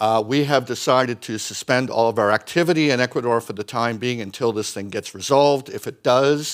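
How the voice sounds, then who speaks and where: Speaking in an unremarkable speaking voice, a man with a medium pitch talks at a fairly quick pace with ordinary pitch variation and hardly any pauses. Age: 60s. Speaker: mining company executive. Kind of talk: conference presentation.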